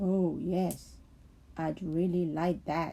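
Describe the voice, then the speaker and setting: This is a put-on character voice pitched in the middle range. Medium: read story. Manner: timid, wondering.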